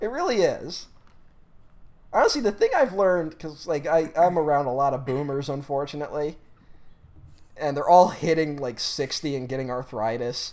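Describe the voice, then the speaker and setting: A man speaks in an animated tone at a fairly high pitch with ordinary pitch variation. His pace is moderate, with long, frequent pauses. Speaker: podcast co-host. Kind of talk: casual chat. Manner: animated, talks over co-host.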